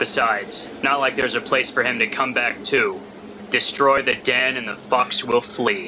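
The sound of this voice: This is an unforced reading voice. It is used throughout.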